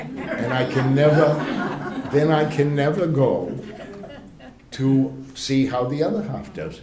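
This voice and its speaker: Noticeable background noise and audible room echo surround this recording. A man with a Boston accent speaks at a fairly slow pace. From Cambridge, Massachusetts. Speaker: priest. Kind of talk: lecture. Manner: halting.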